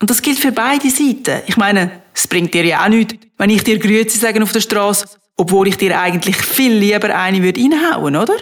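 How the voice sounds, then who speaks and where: An ordinary speaking voice from a woman at a medium pitch, with ordinary pitch variation, very even loudness, and a fairly quick pace. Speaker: podcaster. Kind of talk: monologue. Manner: casual.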